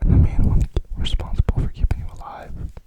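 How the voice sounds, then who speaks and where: A whisper at a moderate pace is heard against noticeable background noise. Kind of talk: ASMR whisper video.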